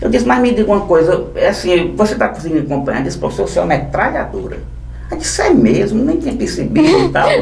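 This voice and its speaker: A man talks at a very fast pace. There's noticeable background noise and audible room echo. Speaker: law teacher for civil service exam candidates. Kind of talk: casual podcast interview.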